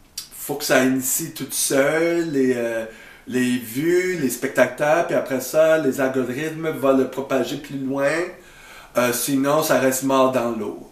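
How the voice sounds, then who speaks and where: Over noticeable background noise and audible room echo, a man speaks very slowly at a fairly high pitch with fairly even intonation. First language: English (speaking French). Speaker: YouTuber. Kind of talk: video reaction commentary. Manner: halting, many hesitations.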